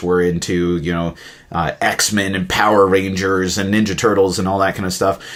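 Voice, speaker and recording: In an American accent, a man speaks at a moderate pace with a very deep, low pitch and monotone, flat intonation. Noticeable background noise is present. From Alaska, US, after childhood in India. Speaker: podcast host. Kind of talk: casual interview.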